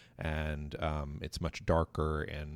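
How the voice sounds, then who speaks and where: A man with an American accent, very deep, low pitch and a very slow pace, on a very clean recording with a silent background. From South Carolina. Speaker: library media specialist, podcast host. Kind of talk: casual book discussion. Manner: halting, many fillers.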